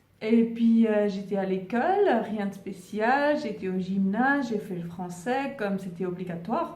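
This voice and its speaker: A woman with a Swiss German accent, fairly slow and lively in intonation, amid noticeable background noise and audible room echo. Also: medium pitch for a woman. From German-speaking Switzerland. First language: Swiss German (speaking French). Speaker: spiritual YouTuber. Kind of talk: casual vlog monologue. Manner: halting, many fillers and repetitions.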